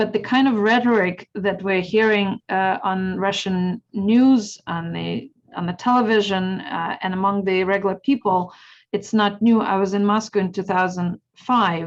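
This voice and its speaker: Speaking at a fairly slow pace with a Ukrainian accent, a woman of medium pitch keeps a fairly even intonation. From Ukraine. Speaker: historian and speaker. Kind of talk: Q&A answer in an educational talk. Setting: video call.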